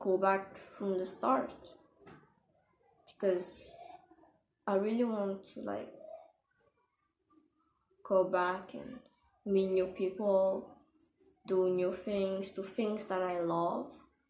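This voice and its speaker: At a very slow pace, the speaker talks with a non-native accent, fairly even intonation, and long, frequent pauses. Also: woman, medium pitch for a woman. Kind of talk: casual talk to camera. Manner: candid, conversational.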